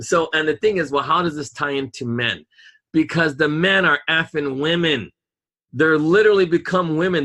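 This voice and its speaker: A man speaks with a fairly high pitch and a bright, sharp tone. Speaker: podcast co-host. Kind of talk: casual chat.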